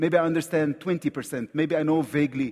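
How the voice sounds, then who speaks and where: A man with an Egyptian accent at a fairly slow pace. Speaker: visiting preacher. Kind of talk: sermon. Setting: church.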